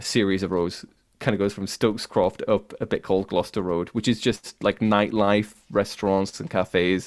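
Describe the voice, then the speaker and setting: A man with a Cumbrian accent speaks at a moderate pace in a fairly low pitch. The recording is very clean, with a silent background. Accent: northern English, Cumbrian. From Cumbria, northern England. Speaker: podcaster and YouTuber, music. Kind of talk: casual chat, interview.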